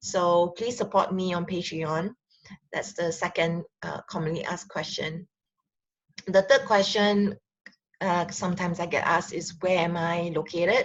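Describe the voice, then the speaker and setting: A somewhat breathy woman's voice with a Singaporean accent, fairly low in pitch, at a moderate pace with fairly even intonation. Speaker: relationship counselor and sexologist. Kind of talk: casual talk to camera. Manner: hesitant, many fillers.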